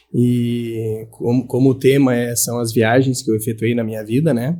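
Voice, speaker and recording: In a very clean recording with a silent background, a man talks at a fairly slow pace with a dark, mellow tone and fairly even intonation. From southern Brazil, Santa Maria, Rio Grande do Sul. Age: 40s. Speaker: professor. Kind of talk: interview.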